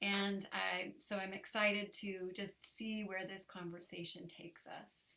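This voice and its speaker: Spoken at a fairly slow pace, this is a plain, everyday voice. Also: woman. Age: 50s. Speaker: interview series host. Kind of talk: interview conversation.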